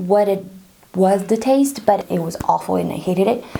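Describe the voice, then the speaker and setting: At a moderate pace, a woman with a slight Brazilian accent speaks with ordinary pitch variation against noticeable background noise. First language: Portuguese. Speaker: pregnancy tips vlogger. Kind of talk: casual tutorial. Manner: conversational, informal.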